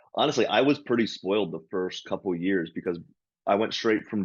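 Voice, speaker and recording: In a quiet background, a man with an American accent speaks in a plain, everyday voice, fairly low in pitch with ordinary pitch variation. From Hagerstown, Maryland, US. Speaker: stand-up comedian and podcast co-host. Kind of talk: casual chat.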